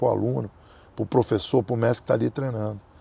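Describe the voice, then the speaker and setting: The man's voice has a dark, mellow tone and is somewhat breathy, with a dry, close sound and no echo. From Brazil. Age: 60s. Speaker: capoeira master. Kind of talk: interview.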